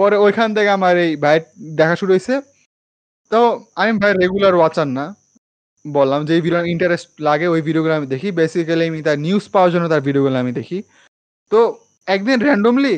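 Against a quiet background, a man with a high pitch and lively intonation is heard in a dry sound with no echo. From Bangladesh. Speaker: anime podcast host. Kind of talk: casual chat. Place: home room. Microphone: studio mic.

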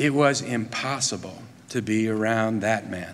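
Very slow pace from a man, with ordinary pitch variation. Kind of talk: eulogy speech. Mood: warm, solemn. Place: church. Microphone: podium.

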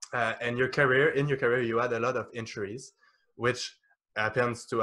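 Speaking very fast with a French accent, a man keeps a monotone, flat intonation. His tone is bright and sharp over a quiet background. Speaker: podcast host. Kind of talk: interview conversation. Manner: halting. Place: home room. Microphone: studio mic.

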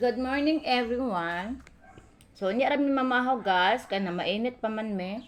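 A woman with a Philippine accent speaks at a high pitch and a moderate pace, with ordinary pitch variation. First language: Cebuano (speaking Tagalog). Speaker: vlogger. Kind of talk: casual home vlog narration.

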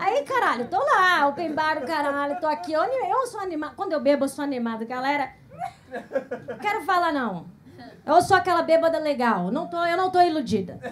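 A woman speaks at an extremely high pitch, her voice swinging very widely up and down. Light background noise sits underneath. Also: moderate pace. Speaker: stand-up comedian. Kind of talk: stand-up comedy set. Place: stage. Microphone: handheld.

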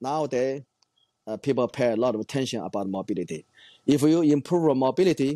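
Speaking fairly quickly with a Chinese accent, the voice has a dark, mellow tone and lively intonation, recorded with a dry sound with no echo over a quiet background. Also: man. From China. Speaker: weightlifting coach and former Olympian. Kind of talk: interview. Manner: halting, with frequent fillers. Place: home room. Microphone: earbuds.

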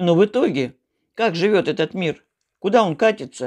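Over a quiet background, a woman with a fairly low pitch speaks at a fairly slow pace with lively intonation. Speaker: home vlogger. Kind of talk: casual vlog chat on religion, preachy. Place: home room. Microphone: phone near.

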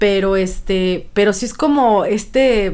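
Her pitch shifts in an ordinary way as the woman talks. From Michoacán, Mexico. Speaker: podcast co-host, cook; podcast co-host. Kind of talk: casual chat. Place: home room. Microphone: studio mic.

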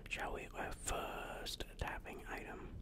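Whispering and soft-spoken, a man talks at a very slow pace against noticeable background noise. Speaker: ASMR creator. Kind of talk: soft ASMR talk to viewers. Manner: soft, close-mic ASMR whisper. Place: home room. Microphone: studio mic.

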